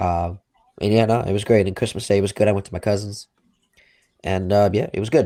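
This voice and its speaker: A man with a Long Island accent, fairly low pitch, fairly even intonation and a fairly quick pace. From Long Island, New York. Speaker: sports podcast co-host. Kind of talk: casual chat. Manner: halting, many fillers.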